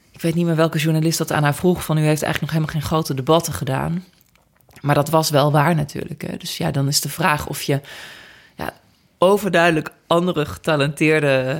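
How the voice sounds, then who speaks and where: A woman's very deep, low voice at a fairly quick pace, with fairly even intonation and big swings in loudness. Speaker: politician. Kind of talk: interview.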